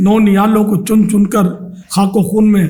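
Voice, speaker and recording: This is a man speaking. His pitch is high. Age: 60s. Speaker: Islamic scholar and religious leader. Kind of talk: interview answer.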